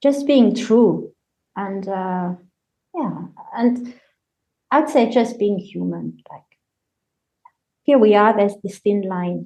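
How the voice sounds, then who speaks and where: At a very slow pace with long, frequent pauses, a woman of medium pitch speaks in a dark, mellow tone, with ordinary pitch variation and big swings in loudness. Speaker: collagist and poet. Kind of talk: casual chat.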